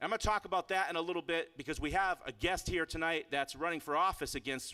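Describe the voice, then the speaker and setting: Speaking at a very fast pace with lively intonation, a man with an American accent has a fairly high pitch and a bright, sharp tone, captured in a very clean recording with a silent background and a dry, close sound with no echo. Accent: Boston accent, shows at times. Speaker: activist and speaker at a political rally. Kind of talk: rally speech. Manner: animated, emphatic.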